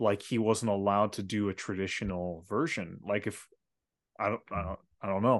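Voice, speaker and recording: Over a quiet background, a plain, everyday voice moves at a moderate pace with ordinary pitch variation. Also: man. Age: 20s. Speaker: podcast co-host, filmmaker. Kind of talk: casual chat.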